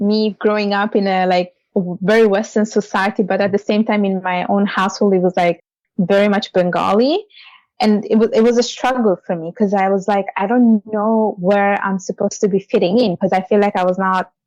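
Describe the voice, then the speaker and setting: A woman speaks in an Italian accent. The sound is dry and close with no echo, against a quiet background. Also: medium pitch for a woman, fairly even intonation, moderate pace. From Italy. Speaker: financial services leader and author. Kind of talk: interview.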